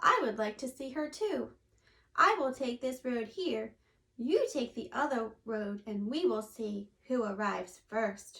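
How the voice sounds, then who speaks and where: A woman puts on a gruff character voice at a high pitch. She speaks at a fairly slow pace. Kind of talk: storytime read-aloud to children. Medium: read story. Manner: sly, pretending to be kind.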